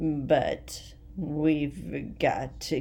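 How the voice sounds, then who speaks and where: A woman talks with audible room echo around her voice. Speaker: vlogger sharing health journey. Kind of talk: personal video diary. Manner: halting, word-finding pauses.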